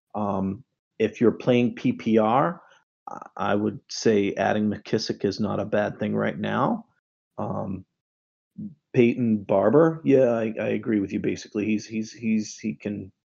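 With a Boston accent, a man speaks at a fairly slow pace. His pitch is fairly low, with ordinary variation. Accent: Boston accent, noticeable. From Boston area, US. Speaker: fantasy football writer. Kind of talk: Q&A on a live fantasy football show. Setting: online voice chat. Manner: casual, many fillers and repeated words.

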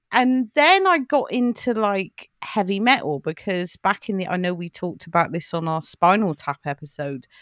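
With a southern English accent, a woman speaks at a medium pitch and a moderate pace, with very wide pitch swings and hardly any pauses. The recording is very clean, with a silent background and a dry, close sound with no echo. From England, Cheltenham. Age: 40s. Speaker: podcast co-host and film writer. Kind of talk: casual chat.

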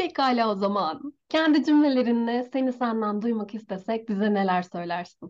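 Her pitch fairly high, a woman speaks at a moderate pace with hardly any pauses. Her intonation is lively. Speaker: podcast host. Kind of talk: interview.

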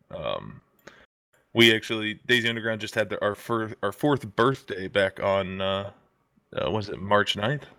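A man has an unremarkable speaking voice at a fairly low pitch. His intonation stays fairly even. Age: 30s. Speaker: plumber and gaming community moderator. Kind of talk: casual chat.

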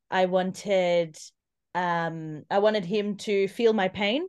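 With an Australian accent, a woman speaks at a medium pitch and fairly even intonation against a quiet background. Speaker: guest speaking about trauma. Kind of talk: interview.

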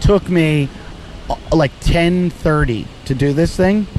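Music plays in the background. Over it, a man is speaking. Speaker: comedian and podcast host. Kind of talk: casual chat. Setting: outdoors on a beach.

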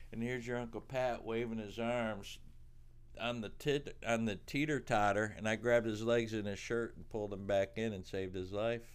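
In a very clean recording with a silent background, a man with an American accent speaks in a normal speaking voice at a medium pitch, moderate pace and fairly even intonation. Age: 50s. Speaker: podcast co-host, storytelling father. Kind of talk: casual chat. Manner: laughing often.

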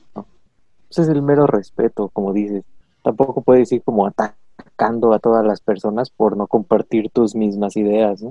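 A man speaks with a Mexican accent in a fairly low pitch. His pace is moderate and his intonation fairly even. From Mexico. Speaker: podcast co-host. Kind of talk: casual chat.

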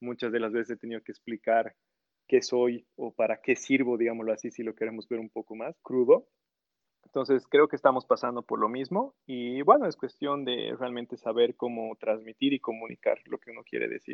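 A man speaks at a moderate pace, with big swings in loudness. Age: 30s. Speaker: university program director and engineer. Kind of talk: casual interview. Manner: halting, with frequent repetitions.

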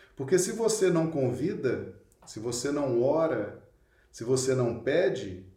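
A man's somewhat breathy, fairly high voice with a dark, mellow tone, very slow pace and audible room echo. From Minas Gerais, Brazil (Belo Horizonte). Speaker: spiritist study leader. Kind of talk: online lecture / religious study.

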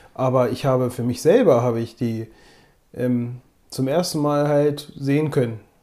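A man speaks at a moderate pace in a medium pitch, his intonation fairly even and his tone dark and mellow. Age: 20s. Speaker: photography podcast co-host. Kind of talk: casual chat.

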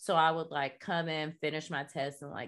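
A woman with an American accent is heard on a very clean recording against a silent background. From US South, North Florida (Jacksonville). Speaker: artist, activist and podcast host. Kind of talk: casual interview, personal testimony. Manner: casual, many fillers (like, um).

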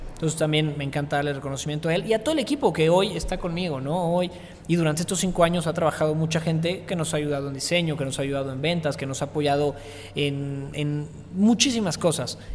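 A man with a fairly high pitch talks very fast, with ordinary pitch variation. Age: 20s. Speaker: entrepreneur and influencer. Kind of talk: interview.

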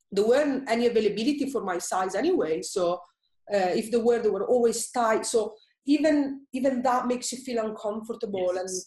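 Using a fairly high pitch with ordinary variation, a woman with an Italian accent speaks at a moderate pace in a dark, mellow tone. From Italy. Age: 30s. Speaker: personal trainer and blogger. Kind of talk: casual interview, personal story.

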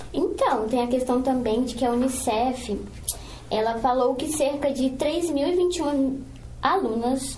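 A woman speaks at a high pitch. There is audible room echo and noticeable background noise. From Brazil, Espírito Santo (Cariacica). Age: 20s. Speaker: student podcast co-host, teacher and ballet dancer. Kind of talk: casual chat with scripted reading.

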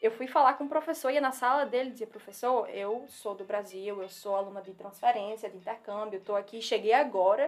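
A woman speaks with a strong northeastern Brazilian accent at a fairly quick pace. Her loudness swings widely. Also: fairly high pitch for a woman, ordinary pitch variation, hardly any pauses. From Northeast Brazil, Natal. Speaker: civil engineering PhD student. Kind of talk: casual interview chat. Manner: fast.

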